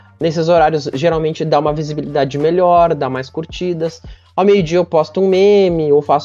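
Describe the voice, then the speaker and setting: A man talks at a fairly quick pace with a fairly high pitch. His tone is dark and mellow, and his intonation is fairly even. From interior of Rio Grande do Sul, Brazil. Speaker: meme page founder and film commentator. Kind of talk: casual chat.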